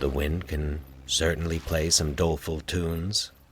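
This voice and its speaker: A man uses a put-on character voice with a very deep, low pitch, soft-spoken and monotone. His pace is moderate and his intonation flat. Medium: read story. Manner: calm, soft-spoken.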